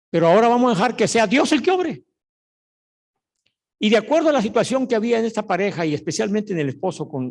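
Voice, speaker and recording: A man's pitch rises and falls very widely as he talks at a fairly quick pace. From Mexico, Mexico City. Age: 70s. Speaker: pastor. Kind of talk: sermon.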